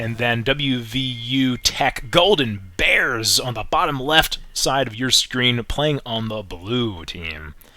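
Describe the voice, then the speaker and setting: Through noticeable background noise, a man with a medium pitch speaks at a very slow pace with hardly any pauses. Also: lively intonation. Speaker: esports caster. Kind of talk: live commentary. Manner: stutters at times.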